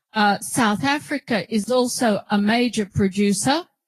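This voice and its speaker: With an Australian accent, a woman speaks at a fairly high pitch, somewhat breathy, with ordinary pitch variation and a dry, close sound with no echo. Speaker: professor. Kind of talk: lecture. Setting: auditorium with audience.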